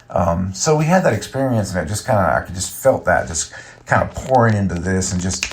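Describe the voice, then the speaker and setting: Relaxed in tone, a man speaks at a fairly quick pace with ordinary pitch variation against noticeable background noise. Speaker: podcast host and musician. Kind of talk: casual solo podcast monologue. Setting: recording in a bathtub, early morning. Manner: relaxed, many fillers.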